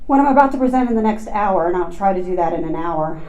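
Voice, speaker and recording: A woman's voice comes with audible room echo, and noticeable background noise is also heard. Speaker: professor of psychology. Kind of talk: lecture. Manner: fast.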